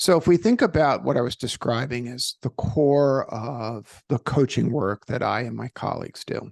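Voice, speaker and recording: A man with a New York accent talks with hardly any pauses in a dry, close sound with no echo. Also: moderate pace, quiet background. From New York, Brooklyn. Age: 60s. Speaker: executive coach and author. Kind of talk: interview. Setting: studio.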